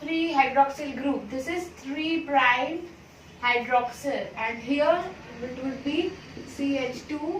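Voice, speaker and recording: Amid audible room echo, a woman with a high pitch speaks at a very slow pace. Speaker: biology teacher. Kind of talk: lecture. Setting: classroom.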